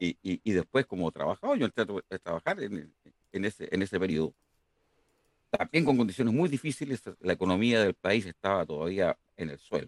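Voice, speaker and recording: With a plain, everyday voice, this man speaks at a fairly quick pace in a fairly low pitch, his intonation lively and the sound dry and close with no echo. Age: 60s. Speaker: engineering professor. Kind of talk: interview.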